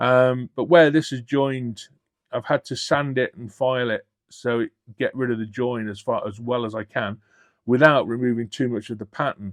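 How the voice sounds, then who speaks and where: A man with a British accent talks at a moderate pace with fairly even intonation. The sound is dry and close with no echo, against a quiet background. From Britain. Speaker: scale model hobbyist YouTuber. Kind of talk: unboxing video. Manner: halting.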